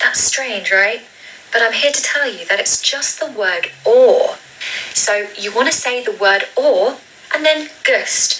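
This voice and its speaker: Amid noticeable background noise, a woman with a southern English accent speaks very slowly in a high pitch with lively intonation. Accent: British (southern English RP-like). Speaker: English pronunciation teacher. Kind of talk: tutorial. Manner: slow, drawn-out model pronunciations.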